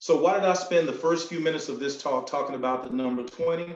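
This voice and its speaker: In a North Carolina accent, the speaker talks at a fairly quick pace with ordinary pitch variation, and room echo is audible. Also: man. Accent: Southern US (North Carolina). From US South, North Carolina (Sampson County). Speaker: motivational speaker. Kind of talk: speech. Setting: video call.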